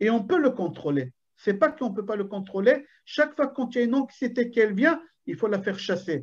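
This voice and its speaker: Moderate pace in an Israeli accent against a quiet background. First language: Hebrew (speaking French). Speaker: rabbi. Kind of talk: Torah lecture. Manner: animated.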